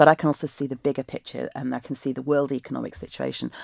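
A woman with a very deep, low pitch and vocal fry talks at a very fast pace, recorded with a dry, close sound and no echo. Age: 50s. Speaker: election candidate and teacher. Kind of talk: interview.

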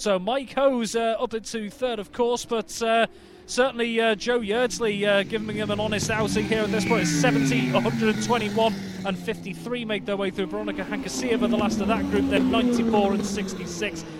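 A man's high-pitched, animated voice with ordinary pitch variation, music in the background. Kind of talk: live race commentary. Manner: fast, rattling off riders' numbers and positions as they flash by.

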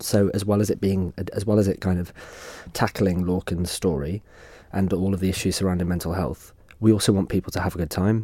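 A man speaks at a fairly quick pace in a very deep, low pitch with a dark, mellow tone and fairly even intonation. The recording is very clean, with a silent background. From Isle of Man. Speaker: theatre writer and director. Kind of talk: radio interview. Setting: radio studio.

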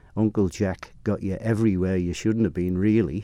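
Monotone, flat intonation from a man at a fairly low pitch. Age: 70s. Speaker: motorcycle racing commentator. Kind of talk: interview. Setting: studio.

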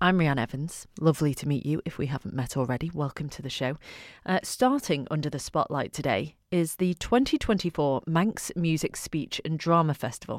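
At a moderate pace, a woman with a very deep, low pitch speaks with lively intonation in a dry, close sound with no echo, on a very clean recording with a silent background. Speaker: radio presenter. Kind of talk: radio show presenting and interviewing. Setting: radio studio.

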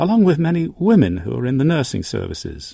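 Very wide pitch swings mark this man's dark, mellow tone. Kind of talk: history documentary narration. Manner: measured, formal, steady storytelling pace; solemn, authoritative, clearly enunciated.

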